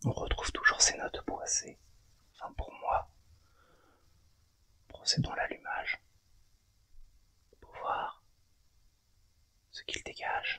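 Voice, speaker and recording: Whispering in a relaxed tone, a man talks at a very slow pace, with big swings in loudness and long, frequent pauses. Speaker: cigar tasting host and ASMR channel owner. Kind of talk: ASMR cigar tasting, casual talk to camera. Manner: soft, relaxed, slow. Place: home room.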